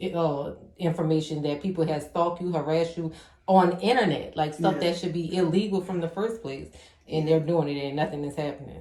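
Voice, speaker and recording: Music plays in the background as a woman speaks at a very deep, low pitch with fairly even intonation. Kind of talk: interview host questions.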